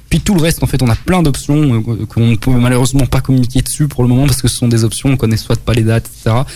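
Medium pitch and ordinary pitch variation from a man, delivered at a very fast pace. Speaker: pop rock band member. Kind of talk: radio interview. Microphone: echo/delay on voice.

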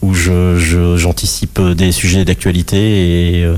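Fairly even intonation comes through amid noticeable background noise and audible room echo. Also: man. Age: 50s. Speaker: cartoonist. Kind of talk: radio interview.

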